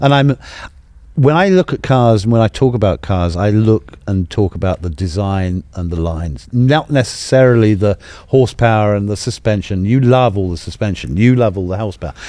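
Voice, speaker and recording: With a British accent, a man speaks at a fairly quick pace with lively intonation. His pitch is fairly low and his tone dark and mellow. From England. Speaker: automotive museum president. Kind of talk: casual chat. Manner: animated.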